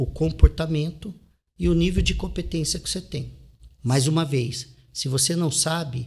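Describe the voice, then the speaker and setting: A man with a fairly high voice and vocal fry speaks at a fairly slow pace. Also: ordinary pitch variation. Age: 40s. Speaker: real estate investor and author. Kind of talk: interview.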